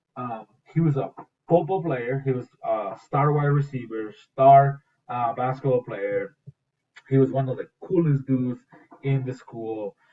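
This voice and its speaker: With a Spanish accent, a man speaks at a fairly slow pace and a medium pitch. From Mexico. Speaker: school teacher. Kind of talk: morning school announcement presentation. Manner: casual, with many fillers.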